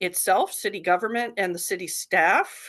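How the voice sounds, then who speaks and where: At a moderate pace, a woman talks in an ordinary speaking voice of medium pitch against a quiet background. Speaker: fire safety council presenter. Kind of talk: presentation in online forum meeting.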